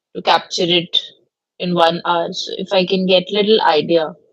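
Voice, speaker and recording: A woman with an Indian accent talks at a medium pitch in a monotone, flat intonation. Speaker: law professor. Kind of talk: lecture. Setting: video call. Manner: loud.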